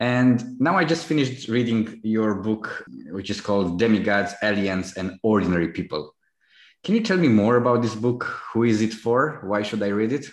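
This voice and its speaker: This man has a Romanian accent and a medium pitch. He speaks at a moderate pace with ordinary pitch variation. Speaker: podcast host. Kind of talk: interview.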